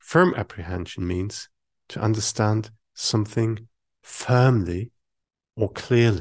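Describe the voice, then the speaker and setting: A man with a German accent, fairly low in pitch with ordinary pitch variation, at a very slow pace with long, frequent pauses, over a quiet background. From Germany. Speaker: Buddhist meditation teacher. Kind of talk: dharma talk.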